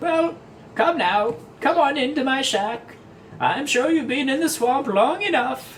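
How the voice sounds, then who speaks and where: A man puts on a character voice with an extremely high pitch. He speaks fairly slowly over clear background noise. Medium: actual play. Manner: folksy, indifferent, knowing.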